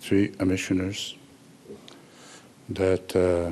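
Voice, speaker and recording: A man with a very deep, low pitch, flat monotone and very slow pace, over noticeable background noise. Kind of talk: ceremonial speech. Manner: halting.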